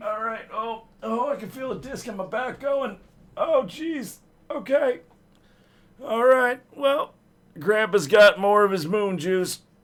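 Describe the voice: A creaky, put-on character voice moves at a fairly slow pace with long, frequent pauses. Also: man, high pitch for a man.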